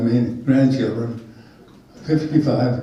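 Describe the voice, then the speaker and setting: Amid noticeable background noise and audible room echo, a man of medium pitch speaks very slowly with an American accent and fairly even intonation. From Utah. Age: 80s+. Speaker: storyteller. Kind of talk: life-story talk to a small group. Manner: halting.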